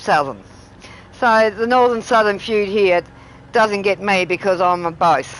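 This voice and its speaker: A woman with an Australian accent speaks at a fairly slow pace, her medium pitch showing ordinary pitch variation. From Australia, Tasmania. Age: 60s. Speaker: gaming streamer. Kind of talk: casual chat. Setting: live stream.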